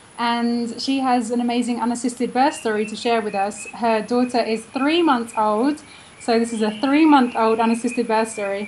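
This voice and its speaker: Over noticeable background noise, a woman speaks at a fairly high pitch and a moderate pace with fairly even intonation. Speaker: interviewer. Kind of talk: interview host.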